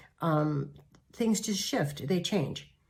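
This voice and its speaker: Against audible room echo, a woman talks at a fairly slow pace in a very deep, low pitch. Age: 70s. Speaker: pastor. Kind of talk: devotional talk.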